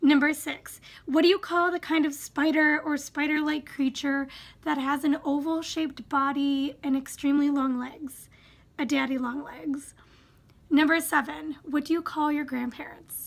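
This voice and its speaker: With a Wisconsin accent, a woman speaks fairly slowly in a high voice, her intonation monotone and flat. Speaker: YouTuber. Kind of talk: casual vlog, reading and answering questions. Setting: home, sitting in a squeaky chair.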